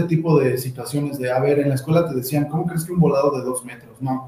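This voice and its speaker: A man speaks in a central Mexican accent at a fairly high pitch. His intonation is monotone and flat, with audible room echo. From Ixtapan de la Sal, State of Mexico. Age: 20s. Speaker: architect. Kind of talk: panel talk presenting architecture practice. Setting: video stream, sharing one camera with partners.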